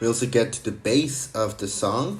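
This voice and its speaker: With music playing behind him, a man with a fairly low pitch speaks at a fairly slow pace and with lively intonation. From Mexico. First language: Spanish. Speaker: music producer. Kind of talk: tutorial. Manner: casual.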